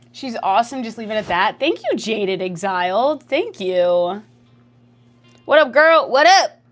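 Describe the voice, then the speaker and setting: With music in the background, a woman with a fairly high voice sounds animated, her pitch swinging very widely and her loudness shifting in big swings. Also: fairly slow pace. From Canada. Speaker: streamer. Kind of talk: casual livestream chat, reading chat messages. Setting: livestream.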